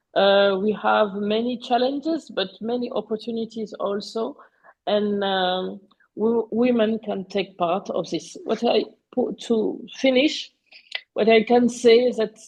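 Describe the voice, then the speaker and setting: A woman with a French accent, fairly high pitch, somewhat breathy, very slow pace, ordinary pitch variation. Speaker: panelist on digital economy. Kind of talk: webinar presentation. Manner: halting, many fillers.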